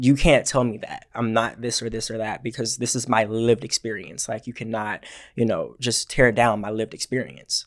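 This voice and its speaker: A man with an American accent at a medium pitch and a moderate pace, with fairly even intonation and hardly any pauses. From Georgia, US. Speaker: podcast co-host, student club president. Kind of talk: casual chat.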